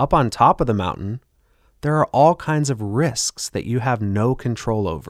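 An unremarkable speaking voice from a man at a medium pitch comes at a moderate pace with lively intonation, in a dry, close sound with no echo and a very clean recording with a silent background. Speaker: radio host and financial advisor. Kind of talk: infomercial-style sales pitch. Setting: radio studio broadcast. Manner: urgent, pushy hard-sell with a polished radio-ad cadence.

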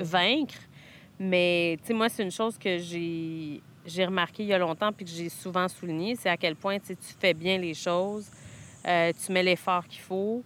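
A woman with a Quebec accent, fairly low in pitch, with fairly even intonation and a fairly slow pace. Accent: Québécois French. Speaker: friend of the host. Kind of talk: casual chat. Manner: halting.

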